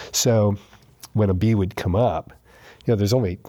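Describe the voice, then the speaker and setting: A man with an American accent speaks at a fairly low pitch and a moderate pace, with ordinary pitch variation. His tone is dark and mellow, and somewhat breathy. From New York. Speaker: recovering alcoholic. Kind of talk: testimony.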